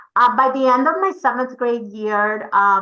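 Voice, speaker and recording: This voice has a bright, sharp tone and a Spanish accent. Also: woman. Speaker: English learner program educator. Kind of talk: informational webinar. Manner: conversational, with fillers.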